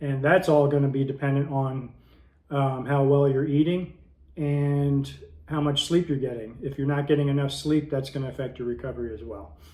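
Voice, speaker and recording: A man speaks at a fairly high pitch, at a moderate pace with fairly even intonation. Room echo is audible. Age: 60s. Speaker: fitness YouTuber. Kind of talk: tutorial. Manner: casual with frequent filler words.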